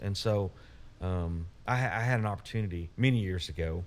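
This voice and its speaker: A man with an Arkansas accent speaks in a fairly low pitch with fairly even intonation on a very clean recording with a silent background. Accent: Southern US (Arkansas). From US South, Little Rock, Arkansas. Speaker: utility company CEO. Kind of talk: casual interview.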